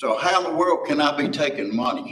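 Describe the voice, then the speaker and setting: Speaking with an Appalachian accent, a man talks at a fairly slow pace with very wide pitch swings and audible room echo. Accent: Appalachian Southern US. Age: 70s. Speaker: landfill convenience center worker. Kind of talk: public comment at county meeting.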